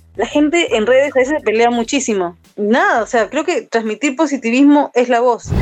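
Amid noticeable background noise, a high-pitched woman talks at a moderate pace with ordinary pitch variation, very even loudness and hardly any pauses. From Peru, Ica. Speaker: tattoo artist and musician. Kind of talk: casual chat. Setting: remote call.

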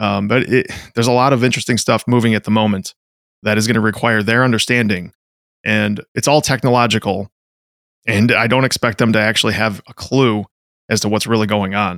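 A man with an ordinary speaking voice talks at a fairly quick pace and very even loudness. The sound is dry and close, with no echo. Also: fairly low pitch for a man, fairly even intonation. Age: 30s. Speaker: podcast co-host and firefighter. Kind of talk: casual podcast chat.

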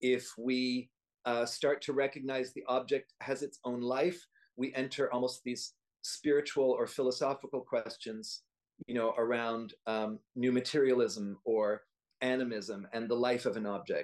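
Speaking in a normal speaking voice, a man holds a medium pitch. He talks at a fairly slow pace with fairly even intonation. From Canada. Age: 60s. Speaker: dance artist and choreographer. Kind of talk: casual interview chat.

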